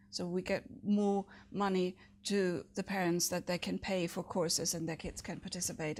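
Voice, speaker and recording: A woman with a German accent talks at a moderate pace in a medium pitch with monotone, flat intonation, on a very clean recording with a silent background. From Germany. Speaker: city council candidate. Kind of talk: interview. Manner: hesitant, many fillers.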